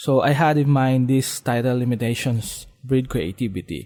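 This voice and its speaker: A man speaks at a fairly slow pace and a medium pitch with a non-native accent, a dark, mellow tone and ordinary pitch variation. The recording is very clean, with a silent background. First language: Filipino. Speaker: podcast host. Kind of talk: solo podcast monologue. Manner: halting, many fillers and restarts.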